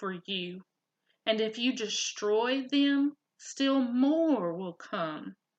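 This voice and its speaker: A quiet, female-sounding voice is put on as a character voice. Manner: quiet, weak.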